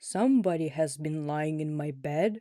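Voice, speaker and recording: This put-on character voice is gruff, pitched in the middle, and delivered at a moderate pace. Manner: grumbling, indignant.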